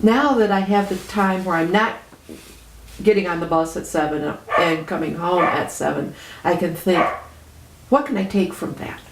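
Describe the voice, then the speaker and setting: Pausing often and at length, a woman of medium pitch speaks at a moderate pace with ordinary pitch variation, amid audible room echo and noticeable background noise. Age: 60s. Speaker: retiree and activist. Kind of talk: interview. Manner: conversational with frequent hesitations.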